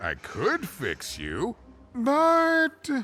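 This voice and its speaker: The man's pitch is extremely high. He is doing a put-on character voice. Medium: video game. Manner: chatty, rambling, laughs often.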